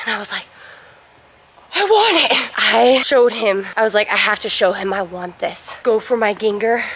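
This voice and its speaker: A woman is heard in a dry sound with no echo. Noticeable background noise comes through. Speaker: gymnast vlogger. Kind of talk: casual vlog chat. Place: gym. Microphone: phone near.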